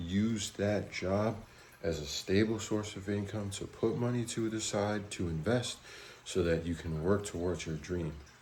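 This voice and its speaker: Somewhat breathy and fairly low in pitch, a man talks at a fairly slow pace with ordinary pitch variation and audible room echo. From USA. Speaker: travel vlogger. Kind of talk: vlog narration.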